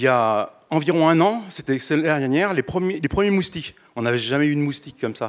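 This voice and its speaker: A man's fairly high voice, fairly quick pace and lively intonation. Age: 60s. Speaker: audience member. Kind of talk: audience question. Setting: auditorium with audience. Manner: casual, hesitant.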